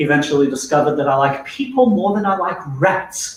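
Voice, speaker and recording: With lively intonation, a man speaks over noticeable background noise. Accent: South African. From South Africa, Durban. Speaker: neuroscience-based corporate trainer. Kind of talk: business presentation / webinar talk. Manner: conversational, humorous.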